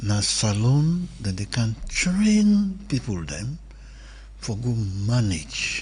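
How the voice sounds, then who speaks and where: Audible room echo fills the space. A man talks at a very slow pace. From Sierra Leone. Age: 70s. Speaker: elder commentator. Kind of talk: radio discussion.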